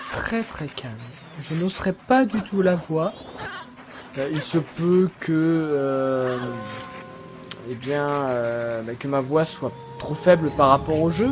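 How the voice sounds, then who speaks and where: Music plays in the background as a man speaks very slowly. His intonation is lively, broken by long, frequent pauses. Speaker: gaming let's player. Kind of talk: let's play commentary. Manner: calm, quiet voice; hesitant, many fillers. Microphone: voice may be too quiet against game.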